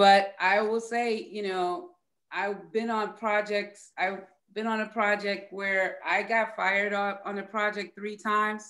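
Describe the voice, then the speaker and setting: Against a quiet background, a woman talks at a fairly slow pace with monotone, flat intonation. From US East Coast. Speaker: musician; guest. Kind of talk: panel discussion. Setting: video call. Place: home room. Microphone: webcam.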